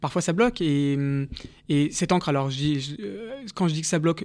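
The recording is very clean against a silent background. A man talks in a fairly high pitch. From Paris, France. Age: 30s. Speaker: entrepreneur and social justice activist. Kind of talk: radio interview. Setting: studio.

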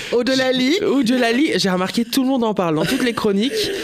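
Noticeable background noise is present throughout. A man does the talking. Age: 30s. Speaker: radio comedian / columnist. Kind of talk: comic radio chronicle.

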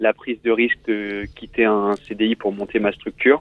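A man talks fairly slowly in a voice of medium pitch. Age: 20s. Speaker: caller, corporate employee. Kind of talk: casual chat.

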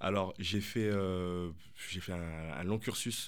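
A man speaks with a very deep, low pitch and ordinary pitch variation. Audible room echo surrounds his voice. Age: 30s. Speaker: life coach and former pro basketball player. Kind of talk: radio interview.

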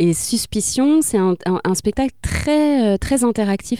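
A woman with a dark, mellow tone and a fairly high pitch talks at a fairly slow pace. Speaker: actress and radio voice. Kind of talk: interview.

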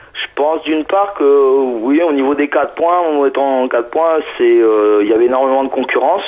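A man with a fairly high pitch talks at a moderate pace as noticeable background noise continues. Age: 30s. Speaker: wheelchair basketball player. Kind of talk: interview. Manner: hesitant, many fillers.

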